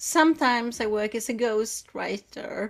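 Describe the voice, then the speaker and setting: A woman speaks at a fairly slow pace with a Swedish accent. The recording is very clean with a silent background. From Sweden. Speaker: writing coach and editor. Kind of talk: interview talk.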